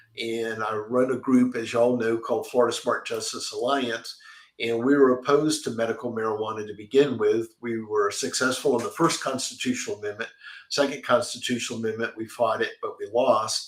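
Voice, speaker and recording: A man at a medium pitch, talking at a fairly quick pace with fairly even intonation over noticeable background noise. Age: 70s. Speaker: political lobbyist and advocacy group leader. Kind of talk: interview discussion. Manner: hesitant with fillers.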